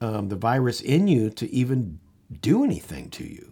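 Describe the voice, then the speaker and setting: Heard on a very clean recording with a silent background, a man with a dark, mellow tone and medium pitch uses lively intonation and shows vocal fry. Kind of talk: angry rant. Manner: indignant, worked-up, pounding out repeated phrases; urgent, rallying, emphatic.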